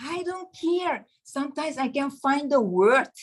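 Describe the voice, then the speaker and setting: Here a woman speaks with a non-native accent. Her intonation is lively. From Caribbean. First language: not English. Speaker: network marketing member. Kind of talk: testimony. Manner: animated.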